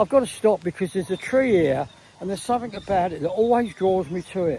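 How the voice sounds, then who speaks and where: A man with an English accent talks very fast in a high voice, his intonation lively and his tone dark and mellow. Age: 80s+. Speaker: vlogger. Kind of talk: casual monologue. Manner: halting.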